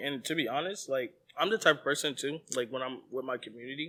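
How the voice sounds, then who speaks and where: The voice is loud, with a bright, sharp tone and ordinary pitch variation, at a very fast pace. The recording is very clean, with a silent background. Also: man. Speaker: church leader, podcast co-host. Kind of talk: casual chat. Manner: animated.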